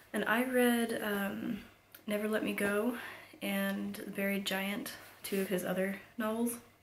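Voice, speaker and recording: A woman of medium pitch uses fairly even intonation, heard with audible room echo and noticeable background noise. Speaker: book reviewer. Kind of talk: casual book review. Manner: hesitant, frequent ums.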